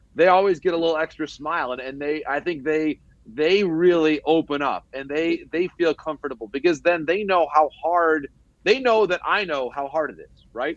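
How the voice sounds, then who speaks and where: In a normal speaking voice with an American accent, a man at a fairly high pitch talks at a moderate pace with ordinary pitch variation and big swings in loudness, recorded with a dry, close sound with no echo. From Michigan, US Midwest. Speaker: baseball insider and broadcaster. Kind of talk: podcast interview.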